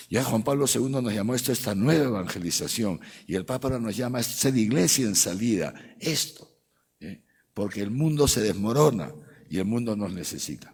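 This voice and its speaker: Lively intonation marks this man's medium-pitched voice. He moves at a fairly quick pace, and room echo is audible. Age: 60s. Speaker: archbishop. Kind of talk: lecture. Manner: animated.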